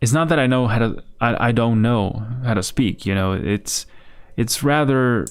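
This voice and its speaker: Mumbling male voice, medium in pitch, very even in loudness, with ordinary pitch variation. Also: fairly slow pace. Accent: Spanish. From Spain. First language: Spanish. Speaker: digital artist streaming. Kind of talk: casual livestream chat while painting. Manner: halting, searching for words; relaxed, mumbling.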